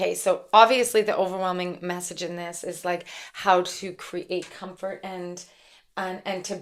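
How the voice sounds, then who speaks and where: This woman has an unremarkable speaking voice at medium pitch, with fairly even intonation and a moderate pace. The recording is very clean, with a silent background. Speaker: spiritual channeler and tarot reader. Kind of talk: channeled spiritual message monologue. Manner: casual, filler-heavy.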